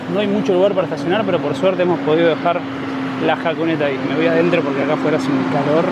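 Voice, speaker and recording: Noticeable background noise fills the recording. A man speaks at a very fast pace in an Argentine accent. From Argentina. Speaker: travel vlogger. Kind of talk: travel vlog narration. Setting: outdoors at border crossing.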